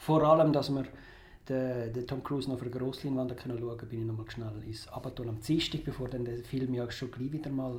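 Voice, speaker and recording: A man with a Zurich accent speaks at a medium pitch and fairly quick pace, with ordinary pitch variation. Audible room echo surrounds him. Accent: Zurich Swiss German. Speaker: film critic. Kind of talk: casual chat.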